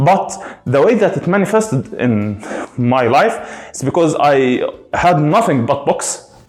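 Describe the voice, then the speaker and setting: A man's fairly high voice with a non-native accent and very wide pitch swings, amid noticeable background noise and audible room echo. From Egypt. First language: Arabic. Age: 30s. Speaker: gaming streamer. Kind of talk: casual rant. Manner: halting, many fillers.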